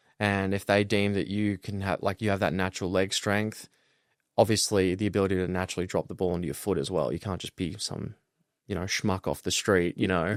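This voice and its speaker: A man with an Australian accent talks at a fairly quick pace and fairly low pitch in a monotone, flat intonation. The recording is very clean with a silent background, and the sound is dry and close with no echo. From Australia, Melbourne. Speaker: college football punter. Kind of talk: casual interview.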